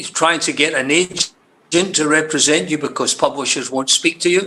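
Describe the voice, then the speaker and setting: Speaking with a Scottish accent, a man keeps a moderate pace and fairly even intonation. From Scotland. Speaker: crime novelist. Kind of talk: interview. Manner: halting.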